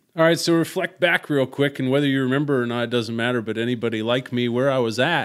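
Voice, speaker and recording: A man with an American accent at medium pitch, talking at a very fast pace with hardly any pauses and ordinary pitch variation. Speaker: podcast host. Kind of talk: casual chat.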